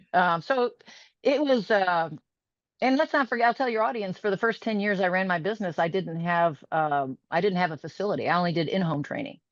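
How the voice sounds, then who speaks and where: With an American accent, a woman speaks at a fairly quick pace and medium pitch, using very wide pitch swings against a quiet background. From US Midwest, Chicago northern suburbs. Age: 60s. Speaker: fitness studio owner. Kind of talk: interview.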